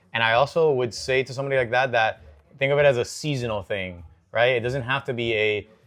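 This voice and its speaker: Speaking at a very fast pace in a Spanish accent, a man uses a medium pitch with ordinary pitch variation. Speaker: fitness podcast co-host. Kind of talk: casual debate chat.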